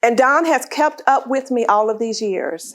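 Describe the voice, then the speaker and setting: With ordinary pitch variation, a woman talks in a high register. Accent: American. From US South, northwest Florida. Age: 60s. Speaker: author and leadership speaker. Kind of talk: talk to a luncheon audience.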